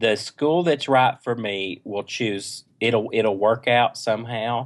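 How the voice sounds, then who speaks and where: A medium-pitched man with an East Tennessee accent at a very slow pace, on a very clean recording with a silent background. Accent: East Tennessee Southern. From East Tennessee, near Knoxville. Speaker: choral conducting doctoral student. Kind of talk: podcast interview.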